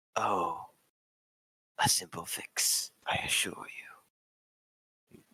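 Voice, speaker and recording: Whispering in a put-on character voice, a man goes at a very slow pace with long, frequent pauses. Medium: actual play. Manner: calm, formal.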